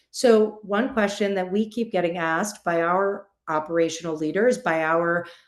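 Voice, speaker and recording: The speech runs at a moderate pace with hardly any pauses and audible room echo. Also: woman, medium pitch for a woman, ordinary pitch variation. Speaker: in-house attorney, panel speaker. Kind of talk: conference presentation. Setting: virtual summit, video call.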